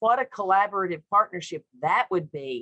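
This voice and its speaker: A woman with a Southern US accent has a bright, sharp tone, recorded dry and close with no echo. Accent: Southern drawl. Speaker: childcare expert panelist. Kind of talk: webinar panel discussion.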